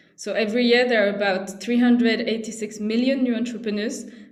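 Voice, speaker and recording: A woman with a French accent talks fairly quickly at a fairly high pitch in a flat monotone, with audible room echo and noticeable background noise. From France. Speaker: social entrepreneur, CEO. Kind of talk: presentation at online panel.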